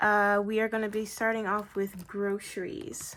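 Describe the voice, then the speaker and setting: A woman speaks at medium pitch and a fairly slow pace. The recording is very clean, with a silent background. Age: 18. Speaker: budgeting video creator. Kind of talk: casual vlog tutorial. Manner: many fillers, halting.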